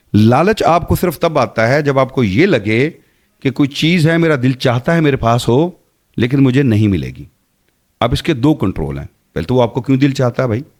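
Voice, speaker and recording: The man talks at a moderate pace in a medium pitch, with vocal fry. His intonation is lively. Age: 50s. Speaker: Islamic speaker and podcast guest. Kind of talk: podcast interview.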